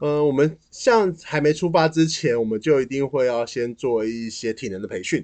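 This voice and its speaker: A man with a fairly high voice, lively intonation, hardly any pauses, a moderate pace, and an unremarkable speaking voice. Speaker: nonprofit event planner. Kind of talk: casual chat.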